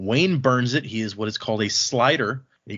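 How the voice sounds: Intonation stays fairly even. It is a natural reading voice over a quiet background.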